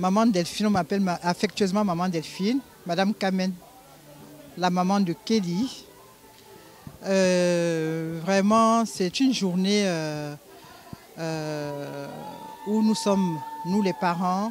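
Over faint background music, a woman speaks very slowly with long, frequent pauses and ordinary pitch variation, in a dry recording with no echo. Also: very even loudness. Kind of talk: interview answer, wedding wishes. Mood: joyful, emotional. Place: hall. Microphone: handheld.

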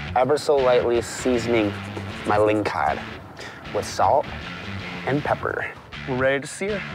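Music plays clearly behind the voice. The delivery keeps a moderate pace. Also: man. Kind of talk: cooking commentary. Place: forest.

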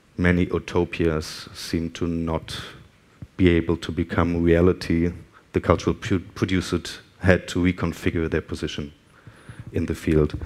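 A man's very deep, low voice at a moderate pace, monotone and flat, with long, frequent pauses. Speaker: guest lecturer. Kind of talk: lecture. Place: hall.

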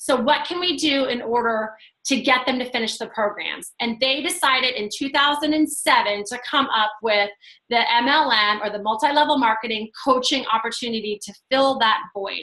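Against a quiet background, a woman speaks at a moderate pace with a high pitch and ordinary pitch variation. Her tone is bright and sharp. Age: 40s. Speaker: fitness coach and team leader; fitness coach. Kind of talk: video call presentation. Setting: video call. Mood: friendly, persuasive. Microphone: video call.

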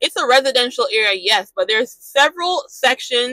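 In a quiet background with a dry, echo-free sound, a woman speaks at a high pitch with a bright, sharp tone. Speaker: truck driver vlogger. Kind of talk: casual vlog chat. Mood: mildly frustrated, reflective. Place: car. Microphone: lapel.

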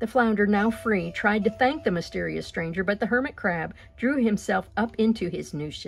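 The speaker does plain reading aloud.

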